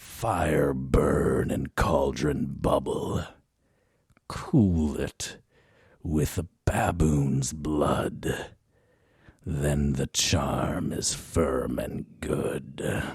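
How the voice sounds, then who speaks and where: Very slow and raspy, a man uses a put-on character voice with a very deep, low pitch. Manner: spooky.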